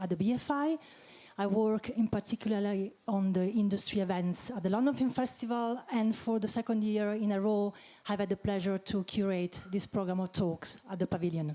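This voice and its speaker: A woman's dark, mellow voice at medium pitch, with a non-native accent, ordinary pitch variation, a fairly quick pace and very even loudness. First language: not English. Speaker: panel moderator. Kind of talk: panel discussion moderation. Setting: stage with audience.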